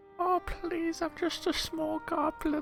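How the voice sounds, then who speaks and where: A put-on character voice at an extremely high pitch proceeds at a fairly slow pace as music plays clearly in the background. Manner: feigning innocence, wheedling.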